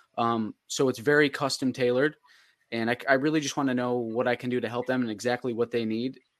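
A man with an American accent at a very fast pace, medium in pitch, dry and close with no echo, over a quiet background. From Upstate New York (Oswego County). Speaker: marketing agency owner. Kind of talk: casual chat. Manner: enthusiastic.

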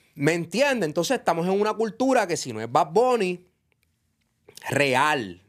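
At a fairly slow pace, a man speaks at a high pitch with very wide pitch swings and long, frequent pauses. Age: 40s. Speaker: reggaeton industry figure. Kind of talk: casual interview. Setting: studio. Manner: animated.

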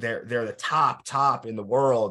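A man speaks in an ordinary speaking voice at a medium pitch. His pace is fairly slow, with ordinary pitch variation against a quiet background. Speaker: podcast host and drum corps designer. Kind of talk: casual interview.

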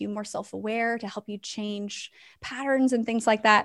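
A woman speaks at a moderate pace with a fairly high pitch and an unremarkable speaking voice. Her intonation stays fairly even. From US West Coast. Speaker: ministry founder. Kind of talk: casual interview.

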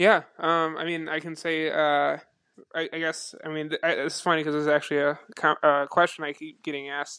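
Against a quiet background, a man with an American accent speaks at a moderate pace in a fairly high pitch, his bright, sharp tone paired with monotone, flat intonation. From Buffalo, New York. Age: 20s. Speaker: podcast host. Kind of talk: casual interview chat. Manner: halting, filler-heavy.

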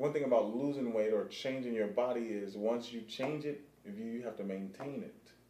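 Someone speaks with an American accent amid noticeable background noise and audible room echo. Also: man. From Pasadena, California. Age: 40s. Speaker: streetball player. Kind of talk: casual interview chat.

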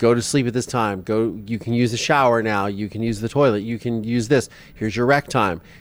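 A plain, everyday voice from a man, medium in pitch, at a fairly quick pace. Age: 40s. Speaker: podcast host. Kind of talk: interview.

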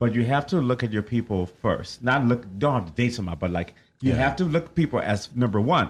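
Over a quiet background, a somewhat breathy man talks at a very fast pace with a medium pitch and lively intonation. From Liberia. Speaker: radio co-host. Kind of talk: casual chat.

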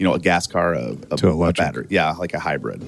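With vocal fry, a man talks at a fairly quick pace. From South Dakota. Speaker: solar company owner. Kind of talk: casual interview. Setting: in person at his office.

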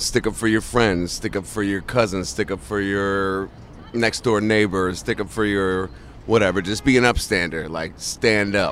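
With an American accent, a man speaks in a plain, everyday voice, fairly low in pitch and fairly even in intonation, at a moderate pace. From New Jersey. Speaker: passer-by interviewed on the street. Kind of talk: street interview. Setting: outdoors on a busy street.

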